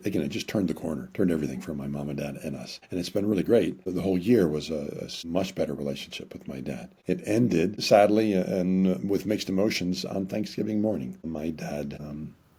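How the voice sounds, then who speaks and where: Very deep, low male voice with a dark, mellow tone and vocal fry, a fairly quick pace, hardly any pauses and ordinary pitch variation. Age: 60s. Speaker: marriage counselor and author. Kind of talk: interview conversation. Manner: halting, repeats words.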